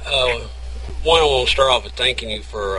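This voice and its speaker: There is noticeable background noise as a man with a Southern US accent speaks at a moderate pace. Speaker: radio host. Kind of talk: interview. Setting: radio interview. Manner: halting.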